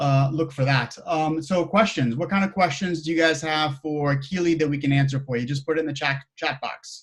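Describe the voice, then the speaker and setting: This man's voice sits fairly high in pitch, and his intonation stays fairly even. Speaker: meetup host. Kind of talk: casual chat. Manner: fast.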